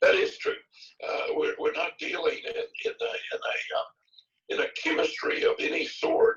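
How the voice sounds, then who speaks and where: A man speaks at an extremely high pitch. His pitch varies in an ordinary way. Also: moderate pace. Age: 70s. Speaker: health supplement doctor. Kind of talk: Q&A session.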